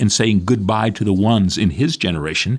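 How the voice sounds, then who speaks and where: Against a quiet background, a man speaks with lively intonation in a fairly low pitch. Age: 60s. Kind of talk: radio reflection talk.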